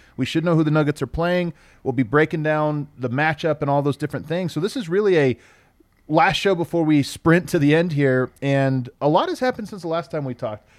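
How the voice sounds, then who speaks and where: A man with an unremarkable speaking voice talks at a fairly quick pace and fairly high pitch with ordinary pitch variation, in a very clean recording with a silent background and a dry, close sound with no echo. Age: 30s. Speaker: sports podcast host. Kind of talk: casual chat. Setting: studio with live streaming audience.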